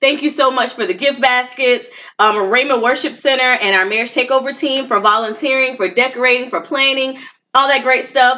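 A woman projects a raised voice at a high pitch with a bright, sharp tone. Her pace is fairly quick. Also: ordinary pitch variation. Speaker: podcast co-host, marriage coach. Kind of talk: live event recap, casual chat.

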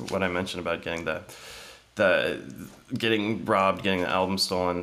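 In a Midwestern American accent, a man talks with a very deep, low pitch. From Ohio, US Midwest. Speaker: musician and music retail salesperson. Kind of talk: casual interview.

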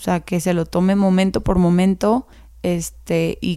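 On a very clean recording with a silent background, a woman with a Mexican accent speaks in a dark, mellow tone with monotone, flat intonation. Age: 20s. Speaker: teacher. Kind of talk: interview.

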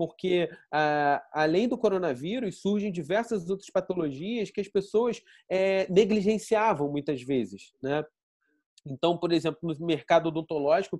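High-pitched male voice, fairly slow in pace, its pitch varying in an ordinary way. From Rio de Janeiro, Brazil. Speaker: pharmaceutical innovation director. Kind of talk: online panel discussion.

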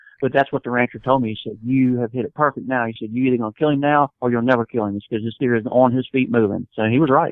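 This man speaks very fast in a Southern US accent, with hardly any pauses. His pitch is medium and his intonation fairly even. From US South, Mississippi Gulf Coast. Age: 50s. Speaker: hunting guide and outdoorsman. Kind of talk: casual interview, storytelling.

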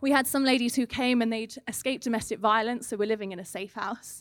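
In an English accent, the speaker moves at a fairly quick pace with fairly even intonation, recorded very cleanly with a silent background and a dry, close sound with no echo. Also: woman. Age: 30s. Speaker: charity manager giving a church sermon. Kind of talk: sermon.

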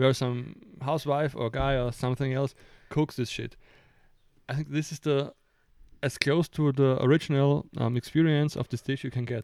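A man with a German accent, fairly high-pitched and monotone with flat intonation, at a moderate pace with long, frequent pauses on a very clean recording with a silent background. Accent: noticeable German-accented English. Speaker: podcast co-host, designer. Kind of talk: casual chat. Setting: home attic with microphones. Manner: halting, searches for words.

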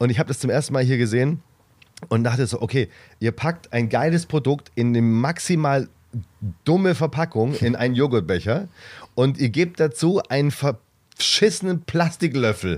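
A man with an unremarkable speaking voice talks at a moderate pace and medium pitch, his intonation lively and his loudness very even. The recording is very clean, with a silent background. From Swabia, Reutlingen. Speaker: comedian, podcast co-host. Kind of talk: casual chat.

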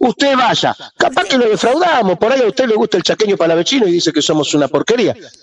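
Through noticeable background noise, a man talks very fast at a high pitch, with very wide pitch swings and very even loudness. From Argentina, Rosario. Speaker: musician, bandleader. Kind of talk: radio interview.

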